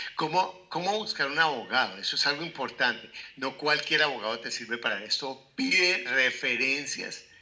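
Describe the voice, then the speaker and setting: A man speaks at a moderate pace with hardly any pauses. He has an ordinary speaking voice, a fairly high pitch and lively intonation. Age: 60s. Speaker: real estate investment educator. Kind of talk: interview conversation.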